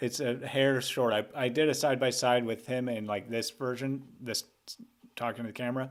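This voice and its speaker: Here a man speaks at a moderate pace. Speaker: animator and streamer. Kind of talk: casual live stream chat. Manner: gets higher-pitched when excited; halting, many fillers.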